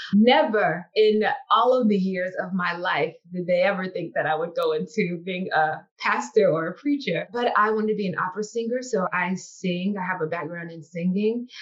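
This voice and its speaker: A woman in a Mississippi accent talks at a moderate pace with hardly any pauses and ordinary pitch variation. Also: medium pitch for a woman. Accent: Southern US (Mississippi). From US South, Biloxi, Mississippi Gulf Coast. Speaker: university chaplain and dean. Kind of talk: interview.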